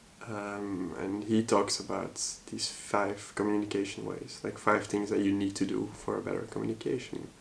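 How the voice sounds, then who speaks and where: Vocal fry marks this man's fairly low voice, delivered at a moderate pace in a monotone, flat intonation. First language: Dutch. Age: 30s. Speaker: vlogger. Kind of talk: personal vlog monologue. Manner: halting, hesitant with many fillers.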